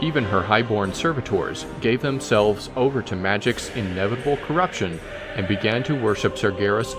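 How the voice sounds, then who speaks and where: A man's lively intonation at a moderate pace, with music in the background. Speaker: voice-over artist / audiobook-style narrator. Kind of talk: audiobook-style lore narration.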